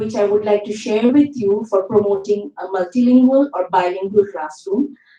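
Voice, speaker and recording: In a Bengali accent, a woman speaks at a medium pitch with a dark, mellow tone. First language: Bangla. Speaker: university English teacher. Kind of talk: conference panel talk. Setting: conference hall with audience. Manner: formal.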